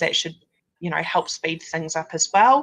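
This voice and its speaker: A woman speaks with a New Zealand accent. Her pace is moderate. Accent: New Zealand twang. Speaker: recruitment candidate manager. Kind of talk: webinar presentation. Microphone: sound issues in the recording.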